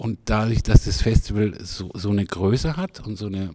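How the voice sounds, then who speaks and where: Dark and mellow in tone, a man's fairly low voice moves with ordinary pitch variation. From Freiburg, southwestern Germany. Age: 60s. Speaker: festival director. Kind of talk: interview. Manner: halting, many fillers.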